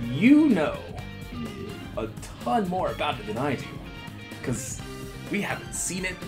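Music is clearly heard behind a man's voice. He leaves long pauses often. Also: moderate pace. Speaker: interview host. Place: office. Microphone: lapel.

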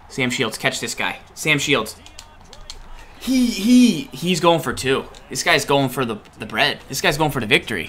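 A man speaks at a moderate pace in a fairly high pitch, with very wide pitch swings. Faint music plays in the background. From New England. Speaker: gaming streamer. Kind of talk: live gameplay commentary. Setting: live stream. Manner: animated. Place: home room.

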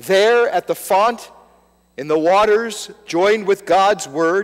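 A man speaks with a high pitch. His pace is very slow. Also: quiet background. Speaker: pastor. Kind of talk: sermon. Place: church.

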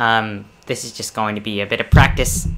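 A fairly slow pace against noticeable background noise. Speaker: let's play gamer. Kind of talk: casual gameplay commentary. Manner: stuttering, hesitant.

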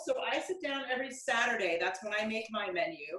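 Over a quiet background with audible room echo, a woman speaks in a bright, sharp tone at a moderate pace. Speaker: home cook host. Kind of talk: tutorial. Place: kitchen. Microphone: camera far.

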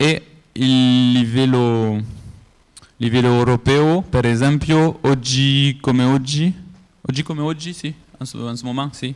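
Someone speaks at a very slow pace with a French accent and fairly even intonation. The background is quiet. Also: man. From France. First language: French (speaking Italian). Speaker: conference speaker, geographic information coordinator; conference speaker. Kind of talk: conference presentation. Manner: halting, many hesitations. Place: hall.

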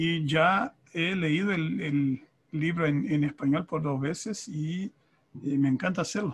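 A man with a fairly high pitch talks very slowly. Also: ordinary pitch variation. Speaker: conference interpreter and author. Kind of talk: panel discussion. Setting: video call. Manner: halting, repeats words. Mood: warm, grateful.

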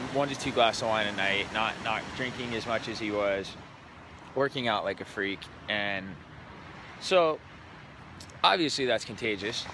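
Light background noise sits under a dry sound with no echo as a man talks at a medium pitch. He keeps a moderate pace and ordinary pitch variation, with long, frequent pauses. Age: 30s. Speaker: entrepreneur vlogger. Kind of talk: casual vlog monologue. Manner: casual, hesitant with fillers. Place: beach. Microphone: phone near.

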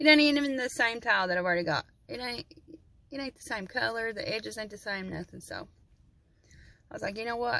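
Against a quiet background, a woman with an Appalachian accent speaks in a bright, sharp, fairly high voice at a fairly quick pace, with long, frequent pauses and big swings in loudness. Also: dry sound with no echo. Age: 40s. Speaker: vlogger. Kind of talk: casual vlog monologue. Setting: in a parked truck. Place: car. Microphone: phone near.

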